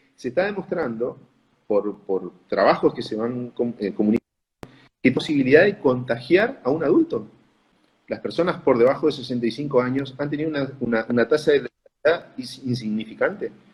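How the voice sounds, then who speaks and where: A man with a northeastern Argentine accent, somewhat breathy, medium in pitch, fairly quick in pace, with lively intonation. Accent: Argentine Spanish (northeast). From Corrientes, Argentina. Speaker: pulmonologist. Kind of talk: interview answer. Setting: online video call.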